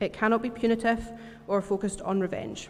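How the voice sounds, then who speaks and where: A woman speaks with a Scottish accent. Her pitch is medium. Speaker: church member giving a talk. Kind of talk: sermon. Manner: fast.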